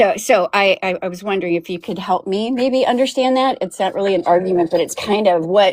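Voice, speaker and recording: Hardly pausing, a woman at medium pitch talks at a fairly quick pace with ordinary pitch variation. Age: 60s. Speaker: caller. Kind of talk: casual chat. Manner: halting, repeats words.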